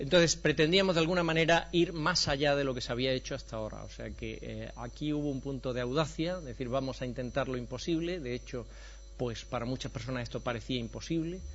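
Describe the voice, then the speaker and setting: A man with an Andalusian accent talks at a very fast pace, with audible room echo and music in the background. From Andalusia, Spain. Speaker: professor of preventive medicine. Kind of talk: conference lecture.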